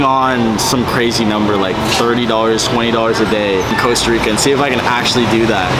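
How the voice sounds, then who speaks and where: A man talking at a very fast pace with fairly even intonation, noticeable background noise and audible room echo. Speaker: vlogger. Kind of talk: casual travel vlog. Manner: casual.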